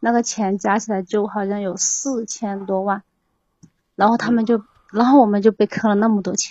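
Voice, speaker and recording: A woman's somewhat breathy voice at medium pitch, moderate pace and monotone, flat intonation. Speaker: caller, scam victim. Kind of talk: phone-in advice call. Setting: voice call into livestream. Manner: halting. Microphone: too far from the microphone.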